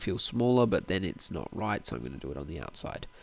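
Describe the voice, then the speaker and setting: A man's very fast speech with vocal fry. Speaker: gaming YouTuber. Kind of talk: gameplay commentary.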